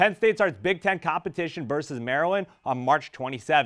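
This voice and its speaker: A man's fairly high, unremarkable speaking voice, fairly quick in pace with lively intonation. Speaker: sports and news anchor. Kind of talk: TV news and sports anchor read.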